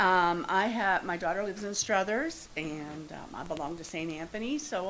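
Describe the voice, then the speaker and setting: At a moderate pace, the speaker uses lively intonation, with audible room echo. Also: woman. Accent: American. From northeast Ohio, Youngstown. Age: 70s. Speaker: resident speaking at public comment. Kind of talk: public comment at council meeting. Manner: halting.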